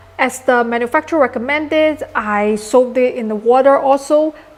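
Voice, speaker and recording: A woman's high voice with a Chinese accent, amid noticeable background noise. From China. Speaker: maker YouTuber. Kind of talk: tutorial.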